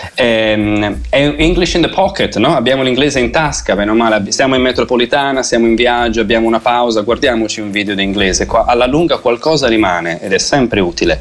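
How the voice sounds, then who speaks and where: Over noticeable background noise, a man speaks at a fairly quick pace with hardly any pauses. His medium pitch shows ordinary variation. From Italy, Tuscany (Lucca). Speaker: English teacher. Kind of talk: radio interview.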